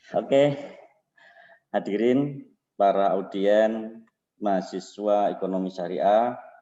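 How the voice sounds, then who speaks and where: Speaking very slowly with long, frequent pauses, a man uses a dark, mellow tone at a fairly low pitch with fairly even intonation. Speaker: vice dean giving welcoming speech. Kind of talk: formal welcoming speech. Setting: online webinar.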